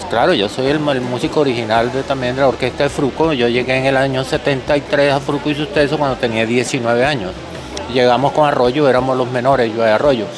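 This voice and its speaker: A medium-pitched man at a very fast pace, fairly even intonation and very even loudness, with music in the background and audible room echo. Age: 70s. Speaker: musician. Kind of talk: interview.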